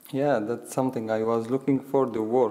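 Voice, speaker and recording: Medium-pitched male voice with an Arabic accent. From Syria. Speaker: war refugee. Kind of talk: panel discussion testimony. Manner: halting.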